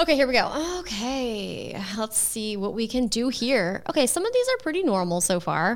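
The speaker keeps a moderate pace with hardly any pauses and very wide pitch swings. Noticeable background noise runs underneath. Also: woman, fairly high pitch for a woman. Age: 30s. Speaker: content creator. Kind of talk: casual chat.

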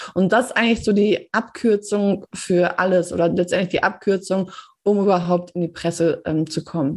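With fairly even intonation, an ordinary speaking voice proceeds at a moderate speed. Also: woman, medium pitch for a woman. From Germany, Paderborn. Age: 30s. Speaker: PR consultant and editor. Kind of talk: interview.

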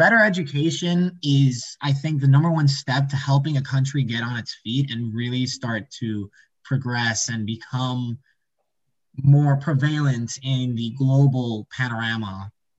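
This man talks at a fairly slow pace, somewhat breathy, with medium pitch and ordinary pitch variation. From Puerto Rico. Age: 20s. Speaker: student. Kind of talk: interview.

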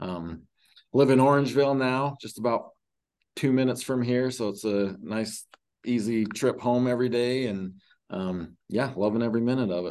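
The setting behind him is quiet. This man's delivery keeps a moderate tempo. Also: medium pitch for a man, ordinary pitch variation. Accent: Utah. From rural Utah (Emery County). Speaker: high school athletic director. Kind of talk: interview. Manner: halting, many fillers.

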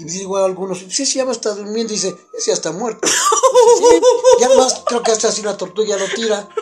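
There's noticeable background noise as a man speaks at a fairly quick pace. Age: 70s. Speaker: retired navy veteran and former stage crew. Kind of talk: casual chat.

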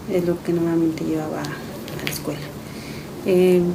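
A woman speaks at a fairly quick pace in a fairly low pitch. Noticeable background noise and audible room echo fill the recording. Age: 30s. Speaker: mother and caregiver. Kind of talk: testimony.

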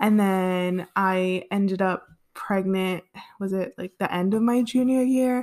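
In an ordinary speaking voice, a woman with an American accent talks at a fairly slow pace, medium in pitch with ordinary pitch variation. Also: very clean recording, silent background. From Southern California, Los Angeles area. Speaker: podcast co-host. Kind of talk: casual chat.

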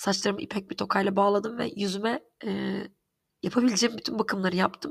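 A woman's medium-pitched voice with vocal fry, ordinary pitch variation and a very fast pace. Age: 30s. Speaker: podcast host. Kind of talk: personal monologue. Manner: halting, many fillers.

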